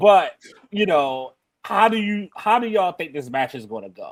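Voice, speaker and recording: A man with a Baltimore accent speaks with lively intonation. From Baltimore, US. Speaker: wrestling podcast host. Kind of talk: casual chat.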